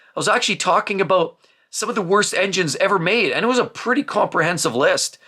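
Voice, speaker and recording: A raised, projected voice with a bright, sharp tone, ordinary pitch variation and a very fast pace. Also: man, high pitch for a man. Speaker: car YouTuber giving buying advice. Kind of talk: casual monologue reading viewer comments. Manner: loud.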